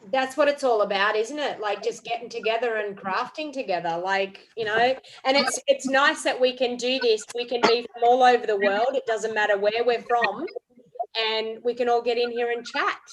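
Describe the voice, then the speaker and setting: With an Australian accent, a woman talks at a moderate pace with ordinary pitch variation. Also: fairly high pitch for a woman. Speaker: craft demonstrator and live stream host. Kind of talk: casual chat. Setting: video call. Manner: animated.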